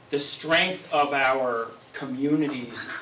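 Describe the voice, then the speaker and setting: There is light background noise and audible room echo as a man talks with fairly even intonation. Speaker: guest. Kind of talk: presentation. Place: meeting room. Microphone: camera far.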